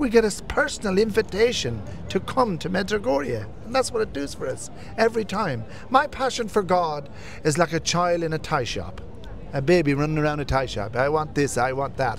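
A man with a fairly high pitch speaks at a moderate pace. His pitch swings very widely, and there is light background noise. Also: dry sound with no echo. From Irish Traveller community, family from County Wexford. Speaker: pilgrim. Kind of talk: testimony. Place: street. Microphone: handheld.

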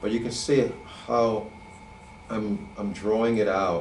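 Audible room echo and light background noise surround a man speaking at a fairly low pitch. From US, New York City. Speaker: animator and illustrator; drawing instructor. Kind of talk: drawing tutorial. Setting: online session. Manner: halting, many repeated words and fillers. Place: studio.

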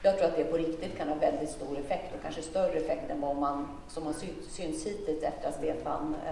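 A woman with a fairly low pitch and ordinary pitch variation is heard with light background noise and audible room echo. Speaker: politician answering a question. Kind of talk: speech answering an audience question. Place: hall.

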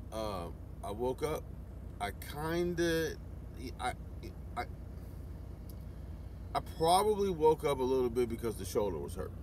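Very wide pitch swings from a man, in a dry sound with no echo and light background noise. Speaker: long-haul truck driver vlogger. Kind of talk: casual vlog chat. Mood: reflective, somewhat frustrated. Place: car. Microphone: phone near.

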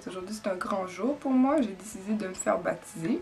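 Against light background noise, a woman with a Quebec accent speaks at a moderate pace with ordinary pitch variation. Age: 20s. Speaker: church member giving baptism testimony. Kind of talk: testimony. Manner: hesitant, with many fillers. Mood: earnest, calm, reflective. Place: empty room. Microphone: camera far.

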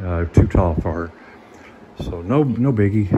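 A man speaks with noticeable background noise around him. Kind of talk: casual vlog chat. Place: garage. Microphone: phone near.

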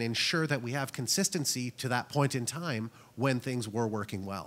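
Here a man with a normal speaking voice talks in a Canadian accent at a fairly quick pace. His pitch varies in an ordinary way. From Canada. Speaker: cybersecurity product presenter; conference presenter. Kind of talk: conference presentation. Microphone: handheld.

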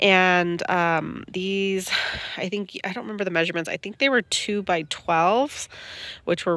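A woman at a moderate pace, dry with no echo, in a quiet background. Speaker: home gardener vlogger. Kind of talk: casual vlog chat. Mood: cheerful, pleased. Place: garden. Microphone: phone near.

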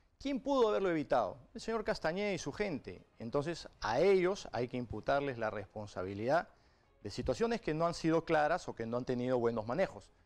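His pitch is fairly high. He makes very wide pitch swings. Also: fairly quick pace. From Peru. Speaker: politician. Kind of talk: political interview. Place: studio. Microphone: lapel.

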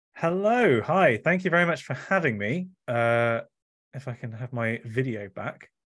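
In an English accent, a man talks with lively intonation over a quiet background. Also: medium pitch for a man, moderate pace. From England. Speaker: author and science communicator. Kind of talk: book talk presentation. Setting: video call. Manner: soft-spoken. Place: home room. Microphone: studio mic.

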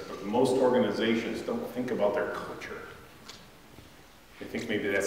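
A man talks at a fairly quick pace amid light background noise and strong room echo. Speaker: speaker. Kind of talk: lecture. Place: hall.

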